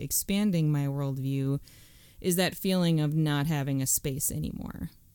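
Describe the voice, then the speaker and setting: An American accent with a dark, mellow tone, ordinary pitch variation and a fairly slow pace, on a very clean recording with a silent background. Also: woman. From US suburbs. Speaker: host's wife, women's ministry worker. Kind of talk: casual conversation.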